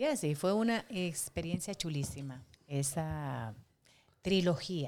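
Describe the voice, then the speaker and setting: Very slow delivery with lively intonation. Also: woman, very deep, low pitch for a woman. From Dominican Republic, Santo Domingo. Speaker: actress and impersonator. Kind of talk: casual interview.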